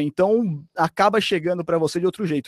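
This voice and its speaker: A man speaks with a high pitch and lively intonation at a moderate pace. The recording is very clean and dry, close, with no echo and a silent background. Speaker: sports commentator. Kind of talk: casual chat.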